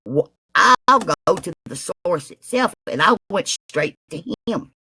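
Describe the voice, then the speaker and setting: The speaker has a Southern accent. The pace is very slow. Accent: Southern, mocked as hillbilly. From US South. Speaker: live-stream chat participant. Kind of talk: casual chat.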